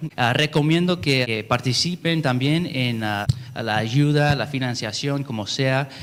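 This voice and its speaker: A man with an English-speaking accent and a medium pitch. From California. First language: English (speaking Spanish). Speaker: YouTube translator, panel speaker. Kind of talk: panel talk. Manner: halting, many fillers.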